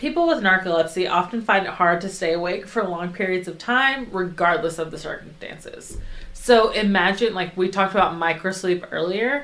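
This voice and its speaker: Against noticeable background noise, a woman of medium pitch talks at a moderate pace with ordinary pitch variation and hardly any pauses. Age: 20s. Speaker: podcast co-host. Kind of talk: casual podcast chat, explaining researched topic.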